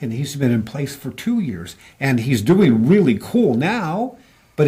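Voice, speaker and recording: A man's medium-pitched voice, dark and mellow in tone, somewhat breathy, with very wide pitch swings. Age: 70s. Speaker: business consultant. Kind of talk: interview.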